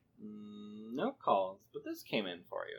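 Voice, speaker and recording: A man's put-on character voice, fairly low in pitch and at a fairly slow pace. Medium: actual play.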